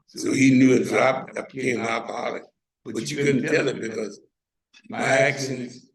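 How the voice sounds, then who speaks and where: With an American accent, a man talks at a moderate pace in a medium pitch and fairly even intonation. Audible room echo surrounds his voice. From US South (Savannah, Georgia). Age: 80s+. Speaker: retired mechanic, panel guest. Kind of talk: casual testimony.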